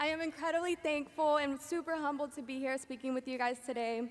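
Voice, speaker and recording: A woman speaks with a Californian accent. Her voice is high. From California suburbs. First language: Spanish. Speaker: graduating student speaker. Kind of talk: commencement speech.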